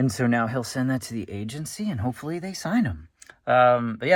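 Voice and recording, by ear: With lively intonation, a passage is read aloud in a natural voice.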